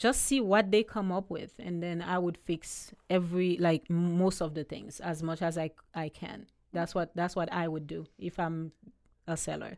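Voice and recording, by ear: Recorded very cleanly against a silent background, a woman speaks with a fairly low pitch, a slightly mellow tone and fairly even intonation.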